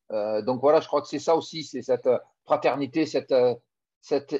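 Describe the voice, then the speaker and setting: The background is quiet. A man with a fairly high pitch speaks at a fairly quick pace. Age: 50s. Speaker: former rugby player turned business coach. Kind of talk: interview. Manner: halting, with many repeated words.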